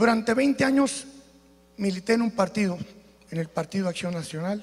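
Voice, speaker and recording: Speaking at a moderate pace, a man has a high voice with ordinary pitch variation. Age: 60s. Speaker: political candidate. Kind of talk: political debate speech. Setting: auditorium with audience.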